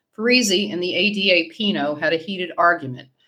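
The intonation rises and falls in a lively way. The reading aloud is done in a natural voice.

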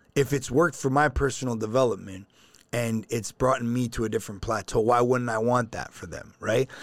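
Delivered at a fairly quick pace with fairly even intonation, this Toronto-accented speech comes through on a very clean recording with a silent background. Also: man. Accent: Canadian (Toronto). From Canada, Toronto. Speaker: financial company CEO. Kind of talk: casual interview.

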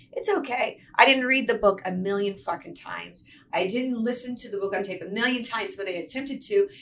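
Animated in tone, a woman with an American accent talks at a fairly quick pace in a fairly high pitch, with hardly any pauses. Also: lively intonation. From US South, Atlanta, Georgia. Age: 40s. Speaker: actress and filmmaker. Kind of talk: casual chat.

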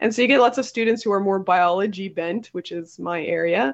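A woman's normal speaking voice with a Canadian accent, medium pitch and ordinary pitch variation. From Ontario, Canada. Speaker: college teacher and science podcast host. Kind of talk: casual interview chat.

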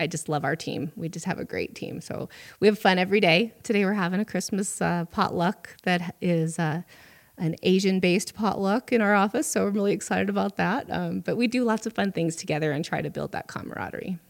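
A woman speaks at a fairly quick pace in an American accent, her pitch medium. Vocal fry runs through her voice, and her pitch variation is ordinary. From Butte, Montana. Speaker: economic development director. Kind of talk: casual interview.

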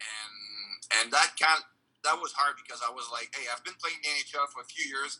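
At a moderate pace, a man speaks in a bright, sharp tone at a fairly high pitch, with ordinary pitch variation and big swings in loudness. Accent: French Canadian. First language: French. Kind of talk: interview.

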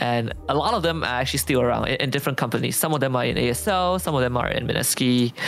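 Over noticeable background noise, the speech comes at a very fast pace with hardly any pauses. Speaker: esports shoutcaster. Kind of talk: casual interview chat.

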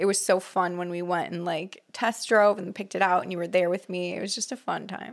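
A woman with an American accent at a medium pitch, fairly quick and hardly pausing, with fairly even intonation, in a very clean recording with a silent background. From California. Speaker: podcast co-host, wardrobe stylist. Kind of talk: casual chat. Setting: home room used as studio.

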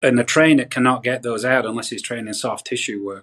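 A man speaks with a northern English accent. His pitch sits in the medium range. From northwest England. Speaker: golf coach. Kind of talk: interview.

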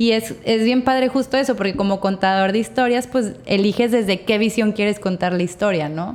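With hardly any pauses, a woman talks over noticeable background noise using ordinary pitch variation. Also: medium pitch for a woman, moderate pace. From Mexico, Torreón. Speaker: podcast host. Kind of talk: casual interview chat. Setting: studio.

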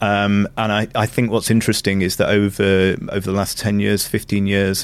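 In a Manchester accent, a man talks at a moderate pace. His voice sits fairly low. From northern England, Glossop near Manchester. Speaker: food and culture consultant. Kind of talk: interview.

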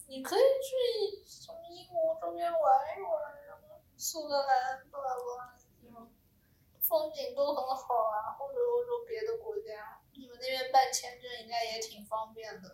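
At a very slow pace, a woman talks in a high pitch with very wide pitch swings and big swings in loudness. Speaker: podcast co-host, student abroad. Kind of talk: casual chat.

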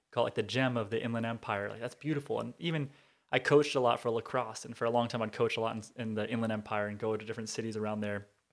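Speaking very fast with an American accent, a man keeps a medium pitch and fairly even intonation. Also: very clean recording, silent background. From Montana, US. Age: 30s. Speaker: university professor. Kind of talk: casual interview conversation.

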